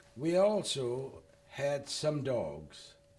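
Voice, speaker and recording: A man with a Louisiana accent speaks amid audible room echo. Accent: French-tinged Louisiana. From Louisiana, Lafayette. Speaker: war veteran. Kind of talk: oral history interview. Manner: reading from prepared notes.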